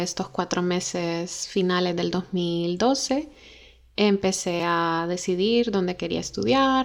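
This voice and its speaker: A woman speaks at a very slow pace and a medium pitch, recorded very cleanly against a silent background. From Honduras (Tegucigalpa, La Ceiba). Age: 20s. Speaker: podcast host. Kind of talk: personal storytelling monologue.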